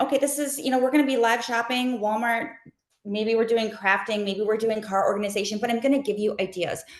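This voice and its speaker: Talking at a very fast pace, a woman uses a fairly high pitch with ordinary variation. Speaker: content creator and live shopping host. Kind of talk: webinar interview. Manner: animated.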